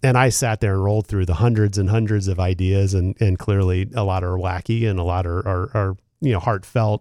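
In an American accent, a man speaks at a fairly quick pace with hardly any pauses, using a fairly low pitch, fairly even intonation and a dark, mellow tone, in a dry, close sound with no echo on a very clean recording with a silent background. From Philadelphia. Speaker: radio host. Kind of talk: interview.

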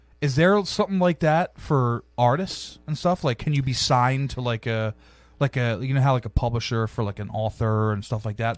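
A man's plain, everyday voice at medium pitch, lively intonation, dry, close sound with no echo, and a very clean recording with a silent background. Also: moderate pace. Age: 30s. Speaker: podcast host. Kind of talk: casual chat.

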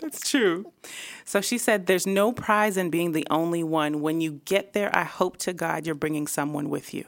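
An ordinary speaking voice from a woman, fairly low in pitch with ordinary pitch variation. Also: moderate pace. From Toronto area, Canada. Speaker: video producer and creative director. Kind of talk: casual interview. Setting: studio.

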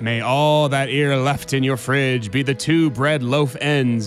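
In a put-on character voice, a man talks fairly slowly at a medium pitch with some hissing over clear background noise.

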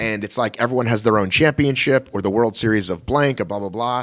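A man talks at a fairly quick pace in a normal speaking voice, with ordinary pitch variation. The sound is dry and close, with no echo. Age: 40s. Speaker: podcast co-host. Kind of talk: casual chat.

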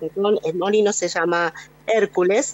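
A woman with a plain, everyday voice and a medium pitch speaks at a fairly slow pace. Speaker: radio reporter. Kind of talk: radio field report. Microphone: voice echoes a little.

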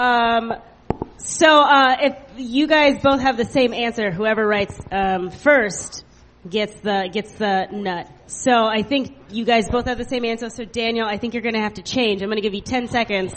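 Here is a woman with an unremarkable speaking voice and a fairly high pitch. She talks at a moderate pace with ordinary pitch variation. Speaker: comedy show host. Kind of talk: live comedy show banter. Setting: stage with audience.

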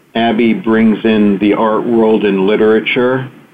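A man with an American accent speaks at a very slow pace, his pitch medium. His intonation stays fairly even over noticeable background noise. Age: 50s. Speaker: physician and author. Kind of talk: interview. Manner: halting, many fillers.

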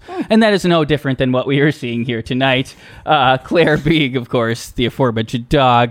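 Here a man has an ordinary speaking voice, pitched in the medium range. He moves at a fairly quick pace with ordinary pitch variation. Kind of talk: casual comedic banter.

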